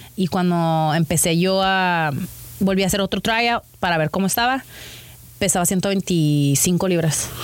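A woman with a normal speaking voice and a fairly low pitch. She talks at a fairly slow pace with ordinary pitch variation and very even loudness. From Mexico, Tijuana. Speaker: professional wrestler. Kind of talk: casual interview.

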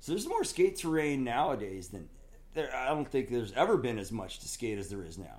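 With an American accent and vocal fry, a man talks at a fairly quick pace with very wide pitch swings. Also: medium pitch for a man. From Southern California and Oregon. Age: 50s. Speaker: skateboard company owner and skater. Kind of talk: casual chat.

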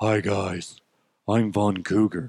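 In a put-on character voice, a man speaks with a fairly low pitch. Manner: flirtatious, seductive.

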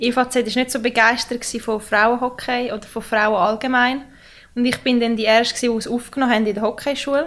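A high-pitched woman's voice at a moderate pace, with monotone, flat intonation. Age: 20s. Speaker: ice hockey player. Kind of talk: casual interview.

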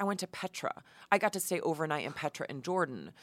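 Fairly quick and with lively intonation, a woman with an American accent has an unremarkable speaking voice, heard dry and close with no echo on a very clean recording with a silent background. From New York, Hudson Valley. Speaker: television producer and host. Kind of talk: interview.

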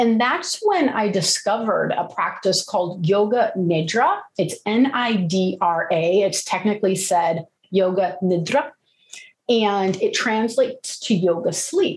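A woman at medium pitch talks with lively intonation, a somewhat breathy quality and very even loudness. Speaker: yoga and meditation teacher. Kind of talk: interview conversation. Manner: animated, active-minded.

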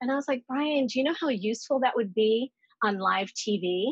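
A woman talks with an American accent at a moderate pace. Hers is a plain, everyday voice, fairly high in pitch with ordinary pitch variation. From Dominican family background, US. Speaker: TV anchor and voice actress. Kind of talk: casual chat.

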